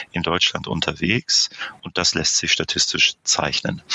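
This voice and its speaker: A man speaks over noticeable background noise. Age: 50s. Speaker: managing director of a camping booking platform. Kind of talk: podcast interview.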